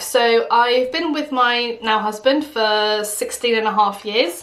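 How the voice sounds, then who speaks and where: Hardly pausing, a woman speaks in a fairly high pitch with ordinary pitch variation, amid audible room echo and noticeable background noise. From Portugal, moved to England at ten. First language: Portuguese. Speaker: beauty vlogger. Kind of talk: casual chat.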